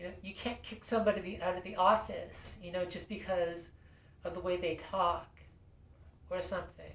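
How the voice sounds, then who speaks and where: A woman at a moderate pace, monotone and flat, with big swings in loudness and noticeable background noise. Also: medium pitch for a woman. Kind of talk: casual talk to camera. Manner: hesitant, lots of fillers.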